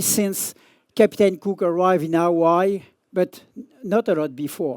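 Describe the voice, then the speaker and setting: A man with a French accent speaks fairly slowly in a high voice. The sound is dry and close with no echo, on a very clean recording with a silent background. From France. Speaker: surf journalist and magazine editor. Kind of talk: conference talk. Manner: halting.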